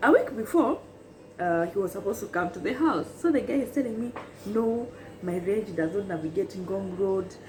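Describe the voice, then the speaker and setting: Amid noticeable background noise, a woman with an animated tone speaks at a moderate pace and medium pitch, her intonation lively. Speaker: YouTuber. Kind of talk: storytelling chat.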